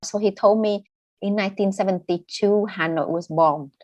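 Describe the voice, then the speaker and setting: A woman with a Vietnamese accent talks at a moderate pace and medium pitch, with lively intonation. The background is quiet. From northern Vietnam, raised in southern Vietnam. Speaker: novelist and poet. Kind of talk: interview.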